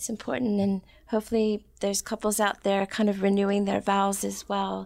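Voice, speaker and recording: Soft-spoken and monotone, a woman keeps to a medium pitch with flat intonation at a moderate pace. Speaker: wedding officiant. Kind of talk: casual interview.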